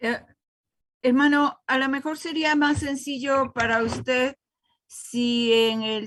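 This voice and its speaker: A woman's speech carries ordinary pitch variation, set against music in the background. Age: 70s. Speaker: church member student. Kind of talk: class discussion.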